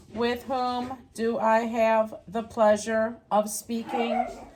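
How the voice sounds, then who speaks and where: A woman uses a put-on character voice with a fairly high pitch, speaking at a very slow pace. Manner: friendly, polite.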